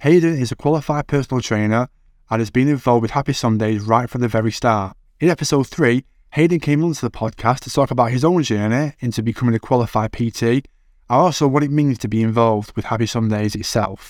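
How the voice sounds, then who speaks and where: A man with a Manchester accent talks at a very fast pace and medium pitch, with ordinary pitch variation. The sound is dry and close with no echo, and the recording is very clean with a silent background. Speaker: podcast host. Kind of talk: podcast interview and narration.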